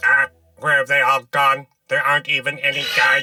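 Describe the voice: Over music in the background, a man does a raspy, cartoonish character voice at a high pitch and a moderate pace.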